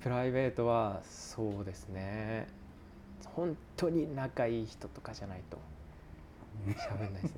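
In a calm tone at a medium pitch, a man speaks at a fairly slow pace with lively intonation, big swings in loudness, and long, frequent pauses. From Japan, Fukushima. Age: 20s. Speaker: pizza maker. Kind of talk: casual chat.

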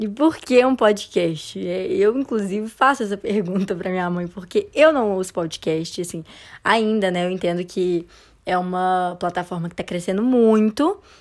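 In a normal speaking voice, a woman talks fairly slowly at a medium pitch with ordinary pitch variation. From Brazil, Belo Horizonte. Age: young. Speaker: podcast co-host, engineering student. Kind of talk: casual chat.

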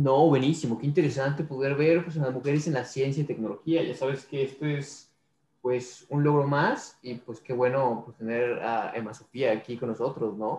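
This man's voice is somewhat breathy and medium in pitch. His intonation stays fairly even. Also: moderate pace. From Mexico City. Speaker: podcast co-host, mechatronics engineer. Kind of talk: interview.

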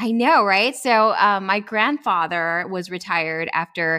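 A woman with an American accent speaks in a bright, sharp tone on a very clean recording with a silent background. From far west Texas (El Paso). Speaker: clinical psychologist, military veteran. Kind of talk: interview.

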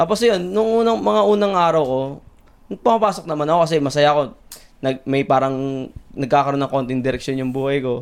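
A man with a normal speaking voice, fairly high pitch, lively intonation and a fairly quick pace. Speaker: chef. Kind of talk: casual chat.

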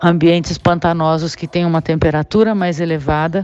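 A woman's fairly low, dark, mellow voice at a moderate pace. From Brazil, São Paulo. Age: 60s. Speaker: biologist and teacher. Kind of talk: recorded voice-message explanation. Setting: prerecorded audio message. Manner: clear, didactic.

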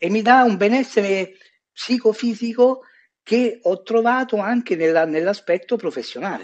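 A man's high-pitched voice moves at a moderate pace with ordinary pitch variation. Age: 50s. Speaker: urologist. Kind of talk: interview.

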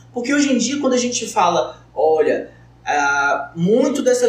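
A man speaks at a fairly slow pace with audible room echo and noticeable background noise. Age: 20s. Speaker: medical student, podcast co-host. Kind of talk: roundtable conversation. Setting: studio.

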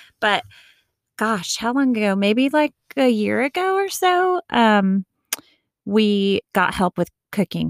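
With an American accent, a woman talks at a very slow pace with very wide pitch swings, very even loudness and long, frequent pauses, on a very clean recording with a silent background. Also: fairly high pitch for a woman, dry, close sound with no echo. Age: 40s. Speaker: podcast co-host. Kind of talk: casual chat.

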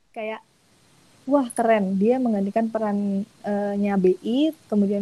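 Somewhat breathy, a woman speaks with a dark, mellow tone at a medium pitch and fairly even intonation. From Indonesia, Bantul (Yogyakarta). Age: 20s. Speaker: in-house lawyer. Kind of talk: webinar talk.

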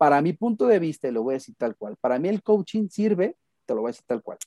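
This man has a dark, mellow tone and lively intonation at a moderate pace. The sound is dry and close, with no echo. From Mexico, Guadalajara, Jalisco. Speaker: psychotherapist. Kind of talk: podcast interview.

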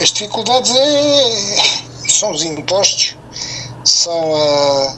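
A high-pitched man talks at a very slow pace with long, frequent pauses. His pitch swings very widely over noticeable background noise. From Mozambique. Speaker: retired entrepreneur. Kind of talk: radio interview. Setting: phone call.

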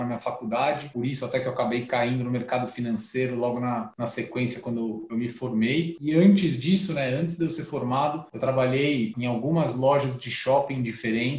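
Over noticeable background noise, a man speaks at a medium pitch with ordinary pitch variation. He keeps a fairly quick pace with hardly any pauses. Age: 30s. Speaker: startup founder and CEO. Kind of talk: interview, casual business chat.

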